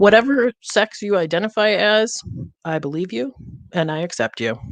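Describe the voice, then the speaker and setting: A woman with an American accent speaks at a medium pitch, with vocal fry and very wide pitch swings. The sound is dry and close, with no echo. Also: moderate pace. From US Midwest, Detroit area. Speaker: comedian and show host. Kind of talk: monologue opening a streamed talk show. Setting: streamed theatre show.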